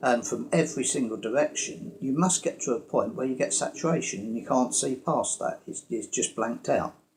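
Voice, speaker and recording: A man speaks with a British accent. He goes at a fairly quick pace with hardly any pauses. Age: 70s. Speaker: retired engineer and inventor. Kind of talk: casual explainer talk to camera. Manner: hesitant, many fillers.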